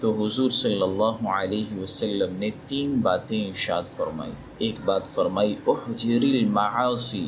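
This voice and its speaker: Fairly even intonation and a fairly low male pitch, set against noticeable background noise. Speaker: Islamic scholar giving a religious talk. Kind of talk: religious sermon.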